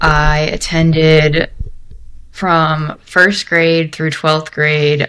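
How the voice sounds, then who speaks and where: In a Mid-Atlantic American accent, a woman speaks with a very deep, low pitch. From Maryland, US (Bethesda, near DC). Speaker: senior product designer. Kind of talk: interview. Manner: casual, with many fillers.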